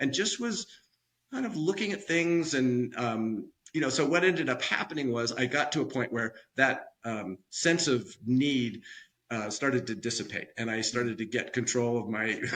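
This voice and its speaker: Using lively intonation, a man with an American accent talks at a fairly quick pace in a bright, sharp tone. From US West Coast, San Francisco Bay Area. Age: 70s. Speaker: retired finance executive. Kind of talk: interview. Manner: halting, many fillers and repeats.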